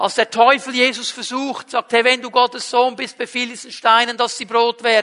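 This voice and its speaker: A man projects a raised voice at an extremely high pitch, the sound dry and close with no echo. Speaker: pastor. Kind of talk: sermon. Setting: livestreamed church service.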